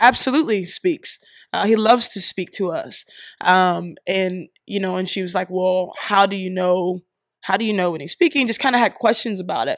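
Recorded very cleanly against a silent background, with a dry, close sound with no echo, a woman with an American accent uses an ordinary speaking voice at a medium pitch, with ordinary pitch variation and a moderate pace. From Columbus, Ohio. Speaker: singer-songwriter. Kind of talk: interview.

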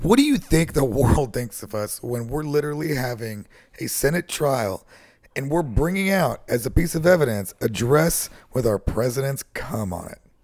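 A man with a normal speaking voice talks at a moderate pace and a fairly high pitch, with lively intonation and big swings in loudness. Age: 30s. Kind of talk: casual chat.

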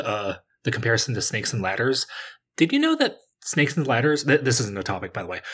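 Very fast speech from a man with an American accent at medium pitch. The pitch varies in an ordinary way, and the recording is very clean with a silent background. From US East Coast. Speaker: podcast guest. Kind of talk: casual chat.

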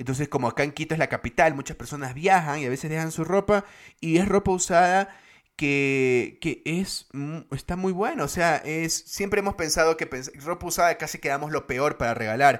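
The recording is very clean, its background silent. A man with a plain, everyday voice speaks at a moderate pace, fairly high in pitch with ordinary variation. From Guayaquil, Ecuador. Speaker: podcast co-host. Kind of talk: casual chat.

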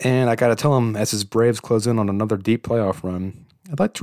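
In a very clean recording with a silent background, a man with a medium pitch talks at a fairly quick pace in an ordinary speaking voice, the sound dry and close with no echo. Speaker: podcast host. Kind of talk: scripted intro and outro. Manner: upbeat, humorous.

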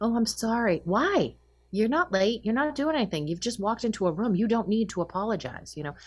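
A woman with an American accent speaks with very wide pitch swings. Her voice is somewhat breathy. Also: fairly high pitch for a woman, fairly quick pace. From Massachusetts, north of Boston. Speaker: professor. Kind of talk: interview. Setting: video call.

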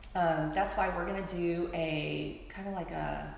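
Against noticeable background noise, a woman speaks in a fairly low voice with monotone, flat intonation. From China, moved to US at seven. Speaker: dance company founder and director. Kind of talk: interview conversation.

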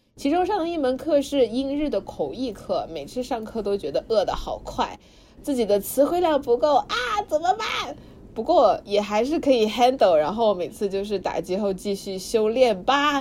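An energetic, high-pitched woman's voice with very wide pitch swings at a moderate pace, over noticeable background noise. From Suzhou. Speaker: student podcast host. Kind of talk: reading aloud diary; casual chat.

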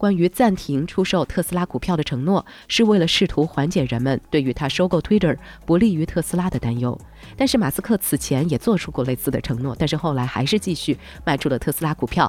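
The speech runs at a very fast pace on a very clean recording with a silent background. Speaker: news podcast host. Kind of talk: news reading.

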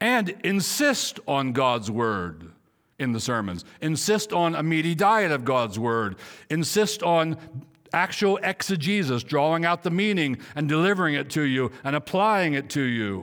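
A man's animated voice, fairly high in pitch, fairly slow, with very wide pitch swings. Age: 60s. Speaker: pastor. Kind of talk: sermon. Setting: church.

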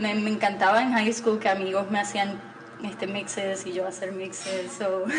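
A woman speaks at a moderate pace and medium pitch, her intonation fairly even. Noticeable background noise and audible room echo fill the recording. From Puerto Rico. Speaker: vintage shop owner. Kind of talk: interview.

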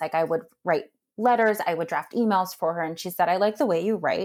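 With an American accent and a plain, everyday voice, a woman talks at fairly low pitch with ordinary pitch variation in a very clean recording with a silent background. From US, New Jersey. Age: 30s. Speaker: philanthropy executive. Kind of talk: interview.

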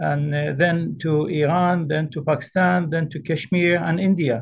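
At a fairly slow pace, a man speaks in a normal speaking voice pitched fairly high. His intonation stays fairly even. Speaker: Islamic scholar, representative of a grand ayatollah. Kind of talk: interview.

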